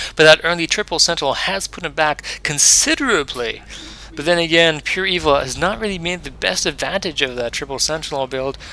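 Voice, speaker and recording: Noticeable background noise sits behind a man with a fairly high pitch who speaks at a fairly quick pace with ordinary pitch variation. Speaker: video game commentator. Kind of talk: live game commentary. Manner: fast; animated.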